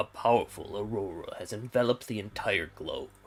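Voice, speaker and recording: A man performs a put-on character voice. His delivery moves at a fairly quick pace. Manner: dramatic.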